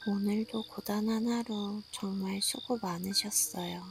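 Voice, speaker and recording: At a very slow pace, a woman speaks in a soothing tone at a medium pitch with fairly even intonation, over noticeable background noise. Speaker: sleep story narrator. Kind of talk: sleep story. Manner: soft, slow, soothing.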